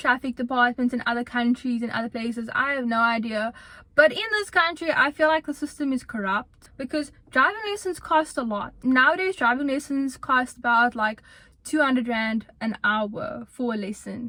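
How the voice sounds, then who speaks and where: A woman's raised, projected voice, high-pitched, with a bright, sharp tone, lively intonation and a moderate pace. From South Africa. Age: 20s. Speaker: university student, YouTuber. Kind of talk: casual talk to camera.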